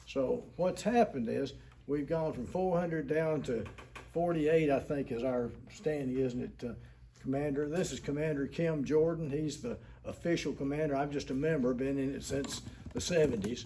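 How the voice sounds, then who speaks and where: A man's fairly high-pitched voice with ordinary pitch variation and audible room echo. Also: moderate pace. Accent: Tennessee. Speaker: war veteran. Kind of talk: public meeting address. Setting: city council meeting. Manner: halting.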